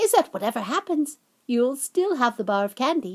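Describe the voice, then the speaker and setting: In a put-on character voice, a female-sounding voice speaks at a high pitch and a moderate pace. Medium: read story.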